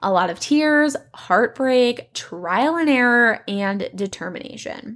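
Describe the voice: A woman speaks slowly at a fairly high pitch, with lively intonation and a fairly bright tone. The recording is very clean, with a silent background.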